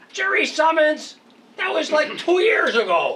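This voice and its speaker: The voice is a put-on character voice at an extremely high pitch. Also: moderate pace. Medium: stage play. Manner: exasperated.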